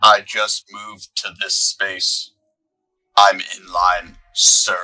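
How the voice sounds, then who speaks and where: A man uses a put-on character voice. He speaks at a very slow pace. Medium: actual play. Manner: blunt, terse.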